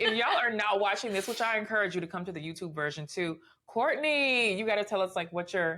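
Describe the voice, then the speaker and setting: In an American accent, a woman talks at a very fast pace in a medium pitch, her tone animated and her intonation lively. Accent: Southern accent, mostly hidden. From US South, Memphis, Tennessee. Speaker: podcast host. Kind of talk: casual interview chat.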